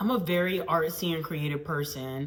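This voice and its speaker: A woman with a fairly low pitch is heard through noticeable background noise and audible room echo. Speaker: PhD student scientist and vlogger. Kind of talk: casual vlog monologue. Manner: loud, bold.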